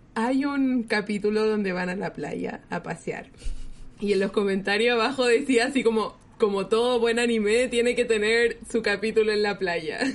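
The speaker has a Chilean accent, keeps a moderate pace, and uses fairly even intonation. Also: woman, fairly high pitch for a woman. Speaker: podcast host. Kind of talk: casual chat.

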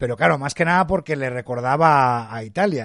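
A man's fairly quick speech at medium pitch, with ordinary pitch variation over a quiet background. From Spain, Madrid. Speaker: podcast host. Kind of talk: casual interview chat. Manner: hesitant, many fillers.

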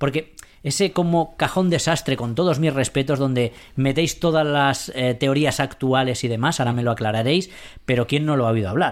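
With a normal speaking voice, a man talks at a fairly quick pace in a fairly high pitch with lively intonation, in a very clean recording with a silent background. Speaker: science radio host. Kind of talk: casual chat.

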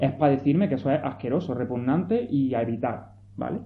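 This man has a normal speaking voice with a fairly high pitch. He talks at a fairly quick pace. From Andalusia, Pinos Puente (Granada). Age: 30s. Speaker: novelist. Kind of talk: talk to school students.

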